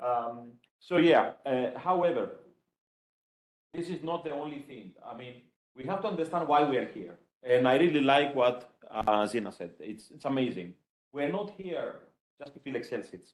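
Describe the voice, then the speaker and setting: Lively intonation marks this man's fairly high-pitched voice, with big swings in loudness. He keeps a moderate pace broken by long, frequent pauses. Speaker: computer science professor. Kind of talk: conference talk.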